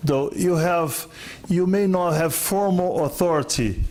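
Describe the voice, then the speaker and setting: A non-native accent at a moderate pace, with audible room echo. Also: man. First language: not English. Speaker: conference speaker on lean management. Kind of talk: conference Q&A.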